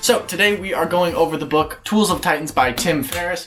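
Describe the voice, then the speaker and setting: Noticeable background noise sits behind a man speaking at a fairly quick pace. His pitch is high. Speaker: youtuber, book review vlogger. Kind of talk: casual vlog talk to camera. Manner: fast.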